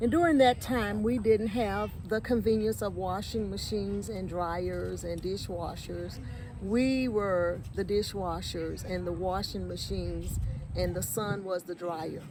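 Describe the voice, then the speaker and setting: Audible room echo surrounds a woman as she talks at a fairly slow pace. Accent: American. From Texas, Houston. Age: 60s. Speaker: interviewee, family elder. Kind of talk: oral history interview.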